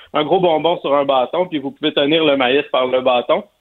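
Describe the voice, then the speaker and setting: A man with a Quebec accent, at a moderate pace with ordinary pitch variation. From Quebec, Montreal area. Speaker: barbecue columnist. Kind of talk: cooking tips on radio.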